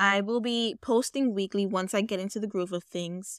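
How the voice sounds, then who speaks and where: With a normal speaking voice and an American accent, a woman talks at a fairly slow pace with a fairly high pitch and ordinary pitch variation, recorded dry and close with no echo on a very clean, silent background. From New York, the Bronx. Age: 20s. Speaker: podcast host and poet. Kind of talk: casual monologue; poetry reading.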